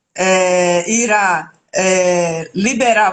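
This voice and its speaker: Fairly even intonation in a northeastern Brazilian accent. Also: woman. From Brazil, Alagoas (Northeast). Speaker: real estate lawyer. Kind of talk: live stream interview. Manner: hesitant, many filler sounds.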